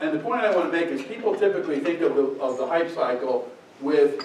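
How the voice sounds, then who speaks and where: A man's fairly high voice with ordinary pitch variation, noticeable background noise and audible room echo. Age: 70s. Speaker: technology business founder. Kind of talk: luncheon talk.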